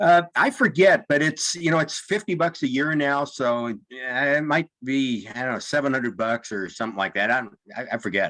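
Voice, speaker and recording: A fairly high-pitched man's voice with a bright, sharp tone, lively intonation, a moderate pace and hardly any pauses. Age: 70s. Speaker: ham radio club member. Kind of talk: casual chat. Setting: club meeting. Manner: halting.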